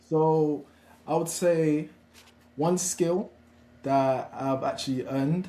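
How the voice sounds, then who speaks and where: A man's dark, mellow voice with a Nigerian accent, at a very slow pace and with fairly even intonation. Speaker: founder of an apprenticeship platform. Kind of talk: webinar discussion. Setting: live online webinar.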